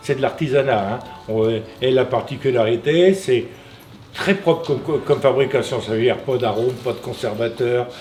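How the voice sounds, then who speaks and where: A man speaks at a moderate pace with a medium pitch and ordinary pitch variation. Noticeable background noise sits behind the voice. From Normandy, Manche (France). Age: 70s. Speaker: artisan biscuit maker. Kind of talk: interview storytelling. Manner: halting, many repetitions; animated.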